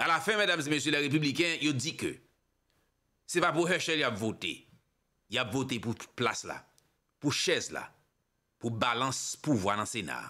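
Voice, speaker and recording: Bright and sharp in tone with vocal fry, the voice moves at a moderate pace with lively intonation and long, frequent pauses over a quiet background. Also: man, fairly high pitch for a man. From Haiti. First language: Haitian Creole (speaking French). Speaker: political commentator / online show host; news commentator. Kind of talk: political commentary monologue. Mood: critical, impassioned. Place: studio. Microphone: studio mic.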